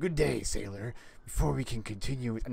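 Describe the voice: Over clear background noise, a man does a gravelly, put-on character voice at a medium pitch and a fairly quick pace.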